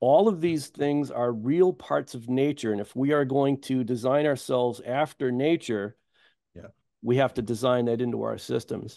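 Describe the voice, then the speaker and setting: This man has a dark, mellow tone and an American accent, recorded dry with no echo against a quiet background. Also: ordinary pitch variation, moderate pace. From US Midwest. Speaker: ecosystem restoration farmer; guest. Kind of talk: panel discussion; interview answer. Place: home room. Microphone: video call.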